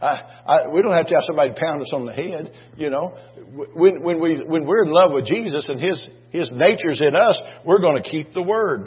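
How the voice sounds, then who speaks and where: Noticeable background noise surrounds a man speaking fairly quickly. His high pitch shows ordinary variation. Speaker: preacher. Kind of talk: sermon. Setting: church. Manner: animated, exhorting the congregation with call-and-response.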